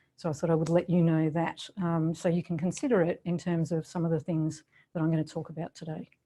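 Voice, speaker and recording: In a strong Australian accent, a woman talks at a very fast pace with a fairly low pitch and a dark, mellow tone. Her intonation is monotone and flat. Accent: Australian, still strong. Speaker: professor. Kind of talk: lecture. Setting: video call.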